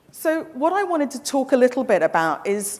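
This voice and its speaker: A woman with a slight English accent speaks with very wide pitch swings. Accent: English-tinged. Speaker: travel company representative. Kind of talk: conference presentation. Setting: stage with audience. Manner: animated; brisk.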